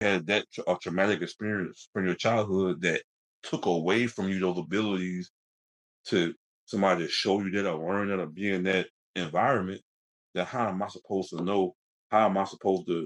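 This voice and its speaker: A man's very deep, low voice with fairly even intonation and a fairly quick pace. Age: 40s. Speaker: interview guest sharing life story. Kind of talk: personal testimony in interview. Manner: halting, with many repetitions and fillers; quiet.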